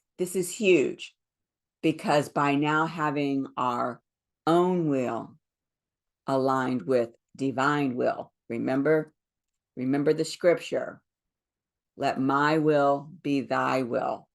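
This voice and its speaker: Her pitch very deep and low, a woman with an American accent speaks at a very slow pace with ordinary pitch variation and long, frequent pauses. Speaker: spiritual teacher. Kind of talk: spiritual talk.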